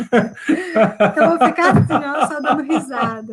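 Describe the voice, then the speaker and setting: A woman's high-pitched voice at a very slow pace, with ordinary pitch variation. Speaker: marriage advice live host. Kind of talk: casual live chat with couple advice. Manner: speaking softly.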